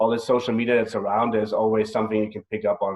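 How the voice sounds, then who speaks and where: A man is speaking. He has a German accent. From Germany, Bavaria. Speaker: executive chef. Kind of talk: interview.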